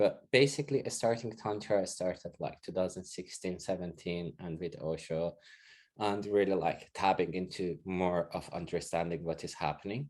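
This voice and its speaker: With a Persian accent and a very deep, low pitch, a man speaks at a moderate pace with ordinary pitch variation against a quiet background. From Iran. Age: 40s. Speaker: interviewee sharing experiences of racism. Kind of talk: casual interview.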